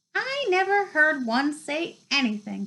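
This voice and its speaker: A woman's squeaky, put-on character voice, high in pitch with very wide pitch swings, at a fairly slow pace. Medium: read story. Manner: calm, unhurried.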